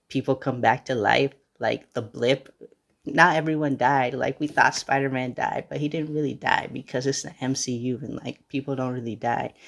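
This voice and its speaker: In a normal speaking voice, a man with an American accent talks at a moderate pace, medium in pitch with fairly even intonation. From United States. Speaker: podcast host. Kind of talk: casual monologue. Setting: at grandmother's house.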